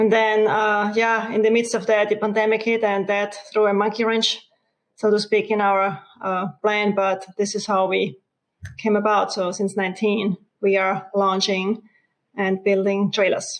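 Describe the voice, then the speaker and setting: In an Austrian accent, a woman speaks at medium pitch and a fairly slow pace, her intonation monotone and flat and her loudness very even. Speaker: RV company co-founder. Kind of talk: interview.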